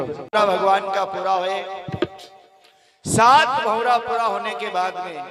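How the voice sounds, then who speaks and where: A man with a high pitch uses a raised, projected voice and long, frequent pauses, with noticeable background noise behind him. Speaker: storyteller / religious kathavachak. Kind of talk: devotional storytelling (katha) to a live audience.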